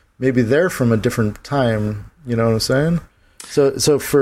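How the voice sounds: Ordinary pitch variation throughout a natural reading voice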